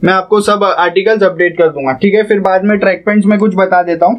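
A man talks at a fairly quick pace in a high pitch, his intonation fairly even.

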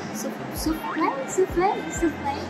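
Music can be heard behind the voice. A woman talks at a fairly slow pace. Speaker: food vlogger. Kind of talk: casual vlog chat. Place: cafe. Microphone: phone near.

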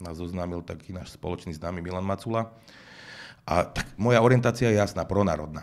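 Speaking at a fairly quick pace, a man with a very deep, low pitch shows ordinary pitch variation and big swings in loudness. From Slovakia. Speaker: music manager turned political candidate; interview guest, politician. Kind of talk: interview. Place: studio. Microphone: studio mic.

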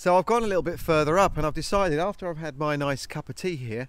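A man talks at a fairly quick pace over background music, with a dry sound and no echo. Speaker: smallholder vlogger. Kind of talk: casual vlog chat. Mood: cheerful, excited. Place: farm machine. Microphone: phone near.

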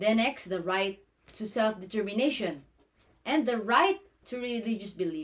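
A woman speaks in a Filipino accent at a moderate pace, her pitch fairly high with ordinary variation. Her speech has long, frequent pauses. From Philippines. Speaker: nursing student. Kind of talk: class presentation. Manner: formal. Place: home room. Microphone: phone near.

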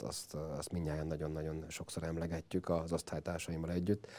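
A man's very deep, low voice with a dark, mellow tone at a moderate pace. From Hungary, Mosonmagyaróvár; Hungary. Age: 40s. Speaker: guest. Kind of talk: interview. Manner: hesitant fillers. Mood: warm, reminiscing. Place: studio. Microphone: lapel.

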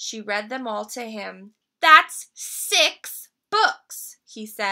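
Quiet surroundings behind a natural reading voice

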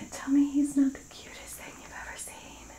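Whispering at a moderate pace, a woman makes big swings in loudness. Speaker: vlogger. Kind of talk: casual vlog chat. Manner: soft, tender voice about puppy. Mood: warm, affectionate. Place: home room. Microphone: phone near.

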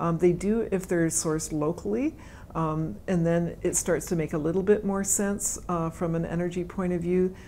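The voice has a western Canadian accent and a dark, mellow tone. It keeps a moderate pace over light background noise. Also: woman, fairly low pitch for a woman, ordinary pitch variation. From Canada (British Columbia). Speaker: forest ecologist, professor; professor. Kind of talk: interview answers. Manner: hesitant, many fillers and repetitions. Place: meeting room. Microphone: lapel.

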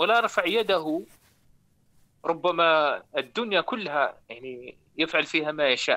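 Against a quiet background, a man speaks at a fairly slow pace. His tone is bright and sharp, and his pitch is fairly high. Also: lively intonation. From Morocco. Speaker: caller. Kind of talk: live call-in testimony. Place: studio. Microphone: lapel.

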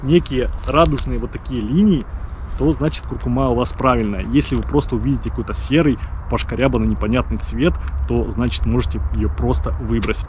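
A man speaks at a fairly quick pace, the sound dry with no echo and light background noise present. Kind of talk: mock-serious explainer to camera. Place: forest.

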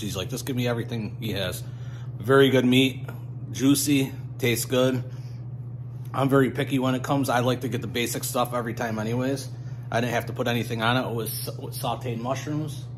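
Over noticeable background noise, a man talks at a moderate pace with flat, monotone intonation. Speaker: food vlogger. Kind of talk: casual vlog chat. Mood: relaxed, friendly. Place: shop. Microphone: phone near.

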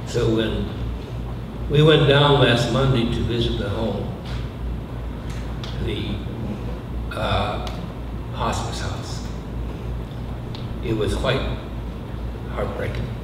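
Amid clear background noise and audible room echo, a man with a fairly low pitch speaks at a very slow pace, with fairly even intonation and long, frequent pauses.

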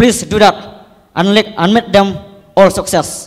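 The man's pitch is high and his intonation fairly even. He speaks at a fairly slow pace. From Meghalaya, India. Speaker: college student. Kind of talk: public speech to politicians; public address to a panel. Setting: college auditorium with audience. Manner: halting. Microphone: handheld.

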